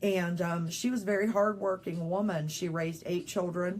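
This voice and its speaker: At a moderate pace, a woman with a fairly low voice speaks with a slight Southern US accent. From rural West Virginia. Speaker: insurance business owner. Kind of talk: casual interview on livestream. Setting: Facebook Live video.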